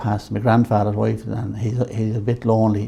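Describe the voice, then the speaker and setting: This man has a dark, mellow tone and keeps a moderate pace. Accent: Irish. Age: 70s. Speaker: men's shed organiser. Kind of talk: interview.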